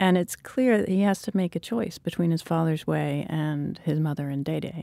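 At a fairly quick pace, a woman with an unremarkable speaking voice and fairly low pitch speaks with lively intonation. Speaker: podcast host and fiction editor. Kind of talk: interview discussion.

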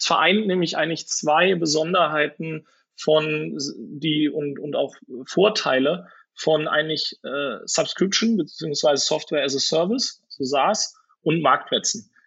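A man talks slowly-ish, his fairly high voice carrying ordinary pitch variation and a fairly slow pace. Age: 30s. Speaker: venture capital investor. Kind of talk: interview. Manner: hesitant, many filler sounds.

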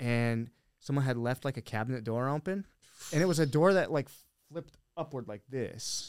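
A man with an American accent talks at a fairly quick pace in a plain, everyday voice, at medium pitch with ordinary pitch variation, in a dry, close sound with no echo on a very clean recording with a silent background. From Montana, US (Billings). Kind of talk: casual chat.

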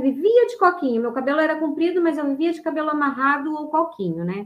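Her pace is fairly quick. This woman speaks at a high pitch. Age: 50s. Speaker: ultramarathon runner, cancer survivor. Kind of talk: testimony. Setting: online live stream.

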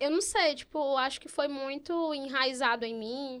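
In a very clean recording with a silent background, a speaker with a Piauí accent talks fairly slowly with ordinary pitch variation. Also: woman. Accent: Piauí northeastern Brazilian. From Teresina, Piauí, Brazil. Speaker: journalist, advertising account executive. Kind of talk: casual interview.

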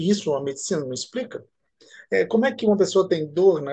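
A man's voice, high in pitch, moves with lively intonation. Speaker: physician and regression therapist. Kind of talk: interview.

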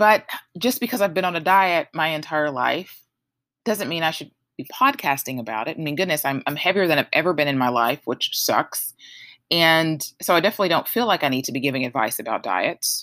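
The tone is bright and sharp. The pitch swings very widely. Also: woman, fairly low pitch for a woman, fairly quick pace, very clean recording, silent background. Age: 30s. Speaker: podcast host and yoga teacher. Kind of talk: solo podcast monologue. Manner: casual, conversational with laughs.

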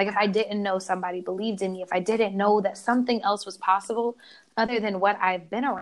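In an American accent, a woman talks at a medium pitch and a fairly quick pace with fairly even intonation. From Oklahoma. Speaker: youth educator and wellness teacher. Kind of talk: casual interview chat.

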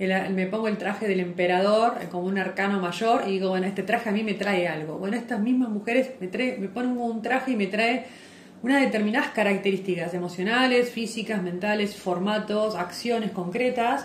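Moderate pace and fairly even intonation, with audible room echo and noticeable background noise. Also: woman, medium pitch for a woman. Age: 50s. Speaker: podcast co-host, yoga and astrology teacher. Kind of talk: casual chat. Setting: live stream recording.

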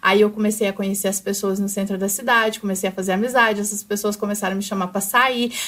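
A woman with a normal speaking voice uses ordinary pitch variation. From Brazil, São Paulo, later Araguari from age 14. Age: 20s. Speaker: makeup artist and brow specialist. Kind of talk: life story interview. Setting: studio.

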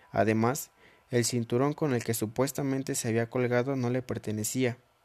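Monotone and flat in intonation, a man speaks at medium pitch and a moderate pace. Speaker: podcast host. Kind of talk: storytelling narration.

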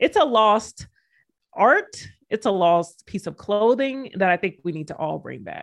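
A woman's animated, medium-pitched voice with vocal fry, very wide pitch swings and a fairly slow pace, on a very clean recording with a silent background. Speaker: sports podcast host. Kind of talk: casual sports chat. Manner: animated, joking.

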